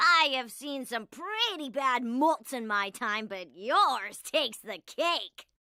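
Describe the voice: A cartoonish character voice, bright and sharp in tone, slow in pace and lively in intonation. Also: woman, high pitch for a woman.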